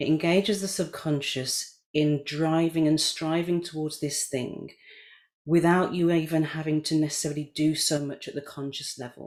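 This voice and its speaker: The speech moves at a moderate pace. It is spoken in a British accent. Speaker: NLP coach. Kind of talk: casual chat. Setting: video call.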